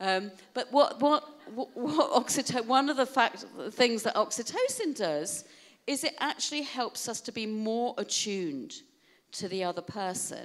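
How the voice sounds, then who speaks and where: A woman talks at a moderate pace, her intonation lively, with a quiet background. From UK. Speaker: keynote speaker on wellbeing; keynote speaker. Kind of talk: keynote talk to an audience. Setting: stage with audience. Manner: animated. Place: hall. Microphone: handheld.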